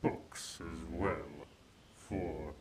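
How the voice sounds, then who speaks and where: There is vocal fry in this man's voice. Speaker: ASMR roleplay performer. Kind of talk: roleplay ASMR, bedtime-story style, dragon character addressing listener as mortal. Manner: slow, soft, possessive and seductive, menacing yet tender, with teasing laughs; formal, archaic and haughty dragon persona.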